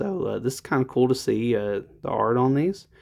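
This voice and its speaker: In a very clean recording with a silent background, a man speaks at medium pitch and a fairly quick pace. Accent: American. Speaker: card collecting YouTuber. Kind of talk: casual unboxing video. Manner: hesitant, many fillers.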